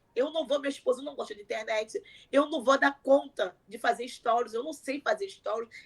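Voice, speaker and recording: With big swings in loudness, a woman speaks in a high pitch and a lively intonation. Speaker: content creator, mother. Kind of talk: interview. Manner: fast.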